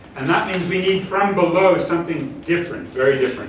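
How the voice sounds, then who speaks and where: Against noticeable background noise and audible room echo, a man speaks at a high pitch. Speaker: professor. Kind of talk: lecture.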